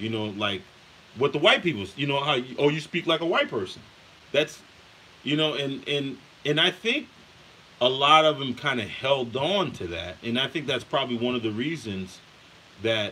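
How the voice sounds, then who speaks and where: A man's medium-pitched voice at a moderate pace, with lively intonation, long, frequent pauses and noticeable background noise. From US, Haitian immigrant family. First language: Haitian Creole. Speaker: podcast host. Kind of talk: casual monologue. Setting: at home in kitchen. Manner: halting, many repetitions.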